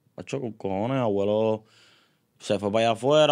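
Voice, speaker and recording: Over a quiet background, a man with a fairly low pitch uses a normal speaking voice with ordinary pitch variation. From Puerto Rico, Río Grande. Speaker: urban music artist. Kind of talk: casual interview chat. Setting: studio.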